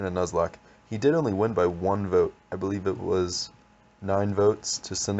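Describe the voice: The reading is plain, though the intonation is lively.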